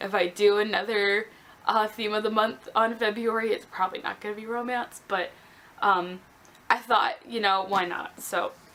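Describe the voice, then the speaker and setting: A woman talks at a moderate pace with fairly even intonation and a fairly high pitch. Noticeable background noise is present. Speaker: book vlogger. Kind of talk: casual vlog. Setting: at home.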